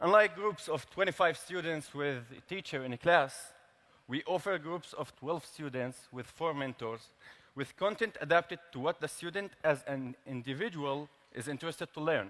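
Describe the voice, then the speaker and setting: With a bright, sharp tone and an Arabic accent, a man speaks at a moderate pace in a fairly high pitch with ordinary pitch variation. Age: 20s. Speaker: tech startup founder. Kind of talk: prepared speech. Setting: stage with large audience.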